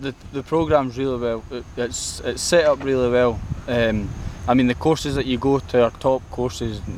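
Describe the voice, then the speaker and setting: A man speaks with an Edinburgh accent. Noticeable background noise runs behind him. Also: medium pitch for a man, ordinary pitch variation, moderate pace. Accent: Scottish (Edinburgh). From Scotland. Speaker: golf course greenkeeping intern. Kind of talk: interview answer. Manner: confident.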